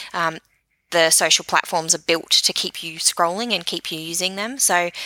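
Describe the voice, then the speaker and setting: With an Australian accent, a woman speaks at a moderate pace in a fairly low pitch, her tone bright and sharp with ordinary pitch variation, and the sound is dry and close with no echo. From New Zealand. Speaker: social media marketing expert. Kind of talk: interview.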